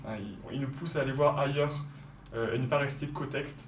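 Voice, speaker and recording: The intonation stays fairly even. Audible room echo and noticeable background noise fill the recording. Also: man. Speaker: former prep-school student, ENS student. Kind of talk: interview. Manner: halting, many fillers.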